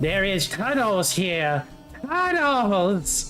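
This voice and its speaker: Clear music plays in the background. Over it, a man uses a put-on character voice pitched high. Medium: actual play. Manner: broken, simple phrasing.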